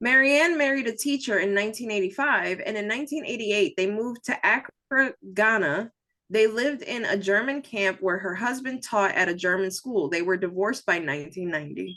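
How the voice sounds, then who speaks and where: A woman with an American accent talks at a fairly quick pace. Her voice sits fairly high and her intonation is lively. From New Jersey. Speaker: true crime podcast host. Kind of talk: casual storytelling chat. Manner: reading from notes, casual.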